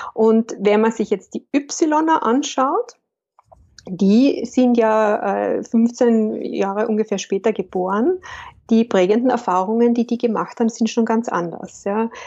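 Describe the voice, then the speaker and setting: This woman speaks very slowly in a Carinthian accent. Her pitch sits fairly high. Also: ordinary pitch variation. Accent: Carinthian Austrian German. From Austria, Carinthia. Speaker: business consultant and coach. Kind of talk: interview.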